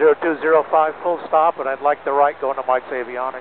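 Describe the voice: With fairly even intonation, a man speaks at a fairly quick pace and a fairly high pitch.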